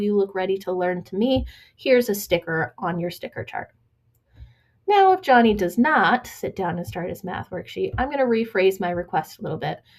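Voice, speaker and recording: A woman with an ordinary speaking voice and lively intonation at a fairly quick pace, on a very clean recording with a silent background. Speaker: educational consultant. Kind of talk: recorded training presentation.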